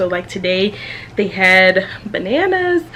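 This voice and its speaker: Background noise is noticeable throughout. The woman's voice sits at a medium pitch. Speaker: family vlogger, mother of twins. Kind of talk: casual vlog chat. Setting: at home. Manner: loud; chatty, many fillers.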